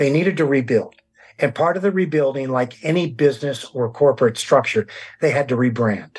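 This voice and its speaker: An American accent comes through as a man speaks at a fairly quick pace. His fairly high voice is somewhat breathy, with ordinary pitch variation. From US West Coast, San Diego County. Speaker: author and historian. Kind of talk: interview.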